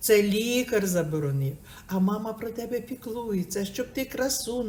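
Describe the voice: Someone reads a text aloud in a plain way.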